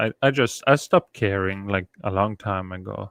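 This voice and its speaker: A Norwegian accent in a dry, close sound with no echo against a quiet background. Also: man. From Norway. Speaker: YouTuber. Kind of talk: casual livestream chat. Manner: halting.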